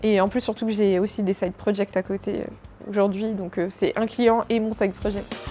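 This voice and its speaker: This woman's voice sits fairly high, her intonation fairly even as she talks at a moderate speed. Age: 20s. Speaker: freelance product designer. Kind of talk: interview answers. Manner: hesitant, many fillers.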